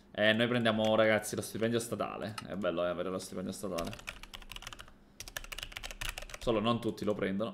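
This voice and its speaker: A man's fairly low voice, flat and monotone, at a fairly quick pace over noticeable background noise. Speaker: gaming streamer. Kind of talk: casual gameplay commentary. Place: home room.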